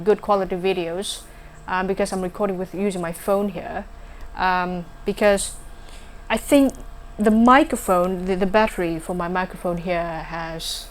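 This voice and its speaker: A woman with a non-native accent talks at a moderate pace. Her pitch sits in the medium range with ordinary variation. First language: not English. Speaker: vlogger. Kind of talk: casual vlog talk. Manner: halting, many fillers.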